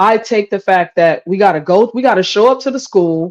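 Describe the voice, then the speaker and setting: A woman with an unremarkable speaking voice talks at a moderate pace. Her pitch is medium and her intonation lively. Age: 40s. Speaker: live stream talk show host. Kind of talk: casual live-stream debate. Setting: live stream, kitchen.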